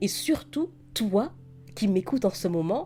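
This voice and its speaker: With music in the background, a woman speaks at a very slow pace in a gentle, warm tone, her pitch swinging very widely. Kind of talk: soothing comfort message to camera. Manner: soft, gentle, warm.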